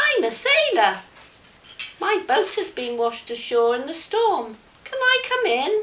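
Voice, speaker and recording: Put-on character voice at a fairly slow pace, full of very wide pitch swings. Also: woman, extremely high pitch for a woman. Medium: read story. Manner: breezy, friendly.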